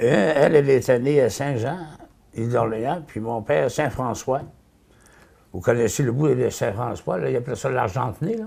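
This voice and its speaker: Speaking at a moderate pace with long, frequent pauses, a man has a medium-pitched, dark, mellow tone with vocal fry and ordinary pitch variation. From Quebec, Côte-de-Beaupré. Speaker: local elder. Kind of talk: oral history interview. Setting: at home. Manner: hesitant, many fillers.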